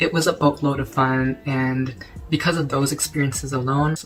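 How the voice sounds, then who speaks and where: A man with a medium-pitched voice talks against noticeable background noise. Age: young. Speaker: college student, fraternity member. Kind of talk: casual storytime talk to camera.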